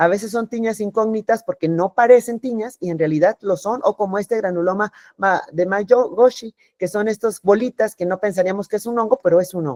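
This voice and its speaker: A woman speaks at a medium pitch with a dark, mellow tone and ordinary pitch variation. She goes at a fairly quick pace, and the sound is dry and close with no echo. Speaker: dermatologist. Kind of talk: lecture. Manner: fast.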